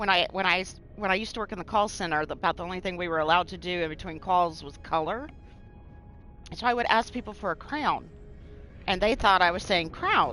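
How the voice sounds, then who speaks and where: A woman speaks at a fairly quick pace and a medium pitch with ordinary pitch variation. Long, frequent pauses break her speech, with music in the background. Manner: heavy stress on Y sounds.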